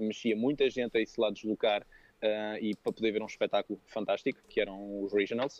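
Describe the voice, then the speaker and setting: An unremarkable speaking voice from a man, fairly low in pitch with fairly even intonation. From France, Paris area. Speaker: personal trainer and coach. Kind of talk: casual interview.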